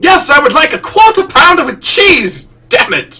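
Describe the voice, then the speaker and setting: The speaker uses a put-on character voice with an extremely high pitch. The pace is moderate. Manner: dramatic, exasperated.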